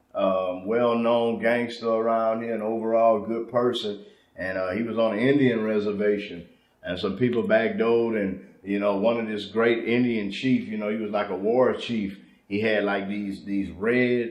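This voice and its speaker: Speaking at a moderate pace with fairly even intonation, a man is heard with audible room echo. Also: medium pitch for a man. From Louisiana, Lake Charles. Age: 30s. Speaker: rapper. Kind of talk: casual interview.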